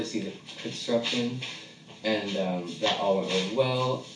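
Against noticeable background noise, a man talks at a moderate pace with a medium pitch and fairly even intonation. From San Francisco. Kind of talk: casual chat.

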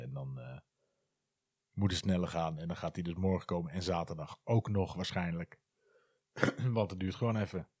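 A man's very deep, low voice at a moderate pace, with ordinary pitch variation and a dry, close sound with no echo. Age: 40s. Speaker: podcaster. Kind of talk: casual monologue.

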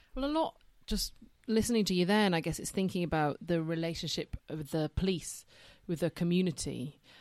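Recorded very cleanly with a silent background and a dry, close sound with no echo, a woman speaks fairly quickly at a fairly low pitch with ordinary pitch variation. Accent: Yorkshire. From Yorkshire. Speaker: social worker and podcast co-host. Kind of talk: casual chat.

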